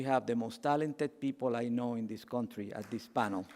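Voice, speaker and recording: Very fast, medium-pitched male voice of dark, mellow tone and fairly even intonation. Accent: Cuban. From Cuba. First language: Spanish. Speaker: keynote speaker. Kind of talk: speech. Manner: passionate.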